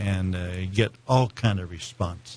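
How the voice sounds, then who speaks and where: A somewhat breathy man's voice, fairly low in pitch, with ordinary pitch variation. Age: 70s. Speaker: search engine marketing salesman. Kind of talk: interview. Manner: halting, many fillers.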